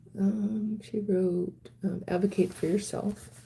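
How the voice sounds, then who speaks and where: Her dark, mellow, somewhat breathy voice sits at a medium pitch. The woman speaks at a very slow pace with fairly even intonation. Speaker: wellness livestreamer. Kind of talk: live stream chat reading viewer comments. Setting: live stream. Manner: halting, many ums.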